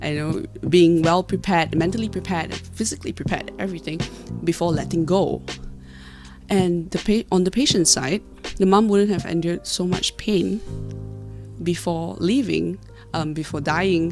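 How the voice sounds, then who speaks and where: Over music in the background, a woman with a fairly low pitch and ordinary pitch variation speaks at a moderate pace, leaving long, frequent pauses. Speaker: university student. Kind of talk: argumentative speech presentation. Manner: unscripted, some stuttering.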